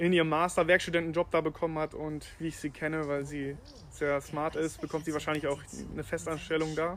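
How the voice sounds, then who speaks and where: This man has a fairly high pitch and fairly even intonation, and he talks very fast. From Germany, Leverkusen, also raised in Spain, China, Colombia. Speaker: start-up founder. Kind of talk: casual interview.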